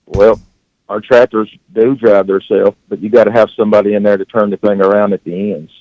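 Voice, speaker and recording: This man has a West Tennessee accent and a dark, mellow tone at a fairly low pitch. His intonation stays fairly even, and the sound is dry and close with no echo. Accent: Southern US (West Tennessee). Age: 60s. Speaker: farmer. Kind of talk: casual chat. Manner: halting.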